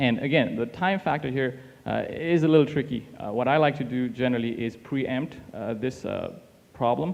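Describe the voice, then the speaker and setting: Ordinary pitch variation and a moderate pace from a man at a medium pitch. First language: not English. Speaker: teaching assistant workshop facilitator. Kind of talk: workshop discussion.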